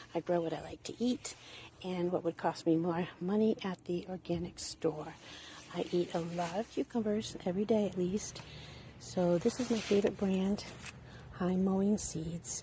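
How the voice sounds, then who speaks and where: A woman speaks in an ordinary speaking voice at a medium pitch. Her pace is moderate and her pitch varies in an ordinary way. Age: 60s. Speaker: home gardener. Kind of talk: gardening tutorial. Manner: casual, conversational with fillers.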